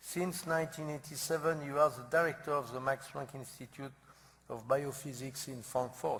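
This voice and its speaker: A man with a non-native accent speaks at a moderate pace, his fairly high, somewhat breathy voice showing ordinary pitch variation. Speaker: center director introducing the speaker. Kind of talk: speaker introduction. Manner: halting.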